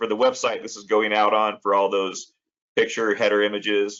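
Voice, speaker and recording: A man with an American accent and a normal speaking voice, fairly low pitch and fairly quick pace. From Colorado. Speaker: podcast host. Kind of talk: interview.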